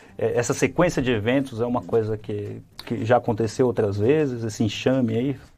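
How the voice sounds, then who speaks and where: A man's dark, mellow voice sits at a medium pitch, with ordinary pitch variation at a moderate pace. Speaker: podcast co-host. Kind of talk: news segment in casual podcast chat. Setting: studio.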